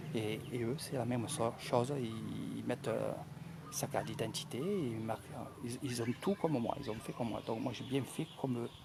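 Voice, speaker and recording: A soft-spoken man talks at a moderate pace. His voice sits at a medium pitch. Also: ordinary pitch variation. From France, Marseille. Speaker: travel vlogger. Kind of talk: live commentary at a ceremony. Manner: soft-spoken, quiet; halting, many hesitations.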